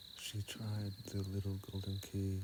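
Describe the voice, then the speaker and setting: A calm tone from a man with a very deep, low pitch. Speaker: ASMR reader / sleep content creator. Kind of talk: sleep story reading. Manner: soft, calm, slow.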